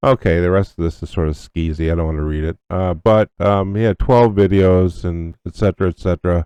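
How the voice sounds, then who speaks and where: In a dry, close recording with a quiet background, a man with a very deep, low pitch and a dark, mellow tone talks at a fairly quick pace with fairly even intonation and hardly any pauses. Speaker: radio host. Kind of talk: news commentary. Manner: casual, halting.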